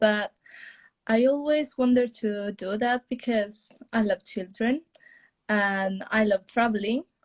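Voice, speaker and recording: A woman's medium-pitched voice with fairly even intonation and a dry, close sound with no echo. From Italy. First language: Italian. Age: young. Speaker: au pair. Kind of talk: live interview. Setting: Instagram live video call. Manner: halting.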